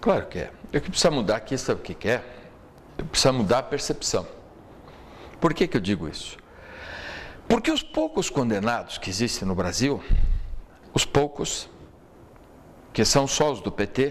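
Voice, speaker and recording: Speaking with long, frequent pauses, a man at a medium pitch makes very wide pitch swings. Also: moderate pace. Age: 60s. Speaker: lawyer and political commentator. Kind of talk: talk show interview.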